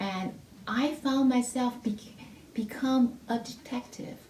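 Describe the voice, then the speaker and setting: A woman with a non-native accent talks at a fairly high pitch. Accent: heavy non-native. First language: not English (English is her third language). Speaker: music theory teacher. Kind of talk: testimony. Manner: halting, with repetitions and fillers.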